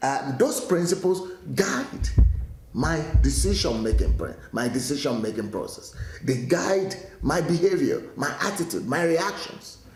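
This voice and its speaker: Audible room echo and noticeable background noise surround the recording. A man speaks at a fairly slow pace. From Nigeria. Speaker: pastor. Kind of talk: daily teaching talk. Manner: hesitant, with frequent fillers and restarts.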